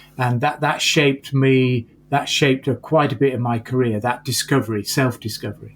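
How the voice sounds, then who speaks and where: A man's somewhat breathy voice at medium pitch, with fairly even intonation and hardly any pauses. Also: moderate pace. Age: 60s. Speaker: entrepreneurship professor. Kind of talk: interview conversation.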